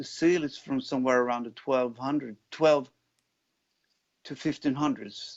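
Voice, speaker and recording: A man of medium pitch with a Swedish accent and fairly even intonation. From Sweden, Jämtland. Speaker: rock guitarist and singer. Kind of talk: interview. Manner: halting.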